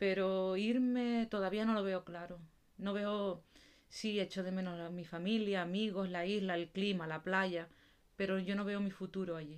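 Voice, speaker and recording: A woman has an unremarkable speaking voice of medium pitch. She speaks at a fairly slow pace with fairly even intonation. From Canary Islands. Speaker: podcast co-host. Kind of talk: casual chat.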